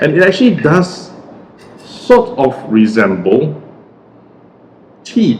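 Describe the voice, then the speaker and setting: Over noticeable background noise, a man speaks fairly slowly with very wide pitch swings. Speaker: cocktail reviewer. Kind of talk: tutorial. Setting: at home. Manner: casual.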